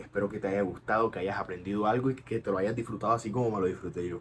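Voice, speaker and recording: The man's voice comes across as somewhat breathy. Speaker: dental educator. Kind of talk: tutorial. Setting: at home at night. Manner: soft-spoken.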